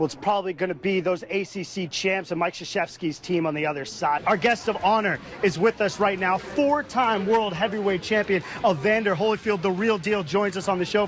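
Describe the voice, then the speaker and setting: Noticeable background noise sits behind a man speaking at a fairly quick pace. His pitch is high, with ordinary variation. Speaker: sports anchor/reporter. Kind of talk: TV sports news report.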